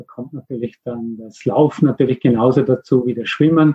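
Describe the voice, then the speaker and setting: A somewhat breathy man at a fairly quick pace. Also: dry, close sound with no echo. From Austria. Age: 50s. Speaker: mindfulness coach for athletes. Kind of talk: interview. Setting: remote call.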